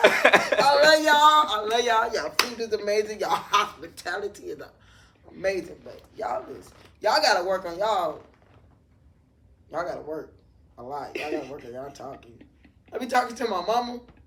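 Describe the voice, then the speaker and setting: Pitched fairly high, a woman with an American accent talks at a fairly quick pace in an animated tone, with very wide pitch swings and long, frequent pauses. Noticeable background noise sits behind her. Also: big swings in loudness. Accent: New Orleans accent noticed by others. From New Orleans, Louisiana, US South. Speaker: barber. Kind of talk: casual interview chat.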